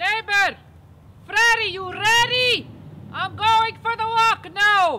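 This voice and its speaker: A woman's extremely high-pitched, raised and projected voice at a very slow pace, with long, frequent pauses, fairly even intonation and noticeable background noise. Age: old. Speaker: webisode star. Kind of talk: casual chat. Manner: loud, yelling.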